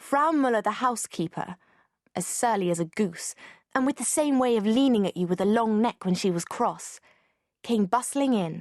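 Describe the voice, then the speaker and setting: Over a quiet background with a dry, close sound and no echo, a woman with a plain, everyday voice and fairly high pitch speaks at a moderate pace with lively intonation. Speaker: audiobook narrator. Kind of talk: audiobook narration.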